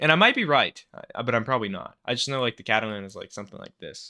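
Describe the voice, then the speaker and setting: On a very clean recording with a silent background, a man speaks at a medium pitch with a bright, sharp tone and lively intonation. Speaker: chess streamer. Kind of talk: gameplay commentary. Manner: stuttering; casual, thinking aloud.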